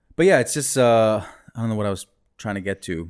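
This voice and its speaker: A man speaks at a fairly low pitch with ordinary variation. The recording is very clean, with a silent background. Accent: American. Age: 30s. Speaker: rapper and MC. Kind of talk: casual chat. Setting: studio. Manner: animated.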